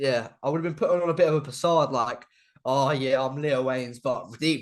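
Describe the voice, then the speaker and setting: With an English accent, a man speaks at a moderate pace in a fairly high pitch, keeping his intonation fairly even. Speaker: YouTuber and video editor. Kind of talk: casual interview chat. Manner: halting, repetitive.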